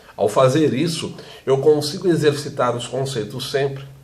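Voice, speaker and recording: Against noticeable background noise and audible room echo, a man with a fairly high voice talks at a fairly slow pace. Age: 40s. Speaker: teacher. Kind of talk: vlog monologue. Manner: fluent, well-spoken.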